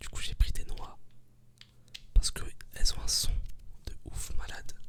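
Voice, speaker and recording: Whispering at a fairly slow pace, a man leaves long, frequent pauses. His loudness swings widely. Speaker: ASMR creator. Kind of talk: casual ASMR talk to camera. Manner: whispered.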